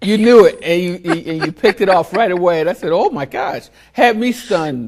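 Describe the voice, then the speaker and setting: Talking at a fairly quick pace, a man with a Philadelphia accent sounds animated, his high pitch carried by lively intonation. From US Northeast, Philadelphia. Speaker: talk show host. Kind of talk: interview.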